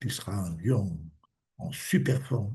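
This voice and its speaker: A man with a dark, mellow, somewhat breathy voice talks fairly slowly, his intonation lively. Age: 70s. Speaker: alternative medicine practitioner. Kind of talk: casual interview conversation.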